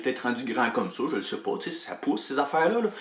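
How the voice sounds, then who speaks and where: A man speaks with a Quebec accent over noticeable background noise. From Quebec, Canada. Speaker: writer and storyteller. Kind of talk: casual anecdote told to camera.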